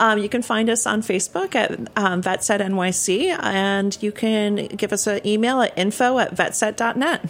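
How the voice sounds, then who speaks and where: A woman with an American accent and a normal speaking voice, a fairly high pitch with ordinary pitch variation, a fairly slow pace and hardly any pauses. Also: very even loudness. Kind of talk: casual interview chat. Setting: studio.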